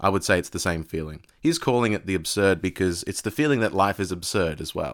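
A man with a very deep, low pitch and an Australian accent, fairly quick with hardly any pauses, lively in intonation, on a very clean recording with a silent background. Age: 20s. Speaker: podcast host, tutor. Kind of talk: monologue on philosophy. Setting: live audio app.

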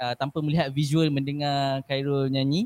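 A man's normal speaking voice, fairly high in pitch, at a fairly slow pace with fairly even intonation. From Malaysia, Perak. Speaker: talk show host. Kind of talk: casual talk show chat.

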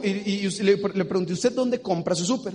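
A man with a Mexican accent, high-pitched for a man, animated in tone and lively in intonation. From Mexico. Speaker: business seminar speaker. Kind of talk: motivational seminar talk. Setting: stage with audience.

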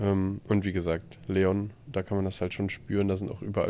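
A quiet man with a very deep, low pitch, fairly even intonation and a dark, mellow tone. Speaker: podcast co-host, traveler. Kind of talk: casual chat. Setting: video call from a hostel room.

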